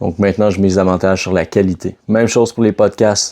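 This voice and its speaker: A man with a Quebec accent speaks at a fairly quick pace. His very deep, low voice stays in a flat monotone. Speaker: fitness coach. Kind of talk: casual vlog talk. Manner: casual, conversational.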